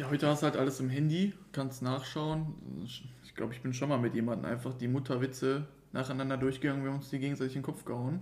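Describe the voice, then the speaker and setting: The man's voice is somewhat breathy. He talks at a very fast pace. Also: medium pitch for a man, fairly even intonation. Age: 20s. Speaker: podcast co-host. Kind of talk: casual chat.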